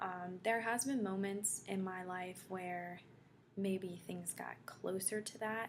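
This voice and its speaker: The pitch of this woman's somewhat breathy voice sits in the medium range. Its pitch variation is ordinary. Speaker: vlogger. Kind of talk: casual vlog. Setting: dorm room.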